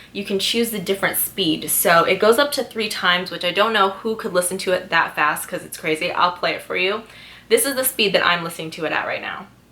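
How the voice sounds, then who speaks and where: Noticeable background noise runs under fairly quick speech that has ordinary pitch variation and big swings in loudness. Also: woman, medium pitch for a woman. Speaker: lifestyle vlogger. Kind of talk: sponsored product talk. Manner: fast; chatty.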